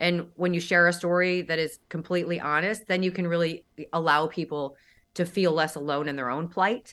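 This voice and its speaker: Her tone bright and sharp, a woman speaks at a moderate pace with a fairly low pitch. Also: very clean recording, silent background. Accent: American. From US Midwest, Saint Louis. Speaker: model, author and motivational speaker. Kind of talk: interview.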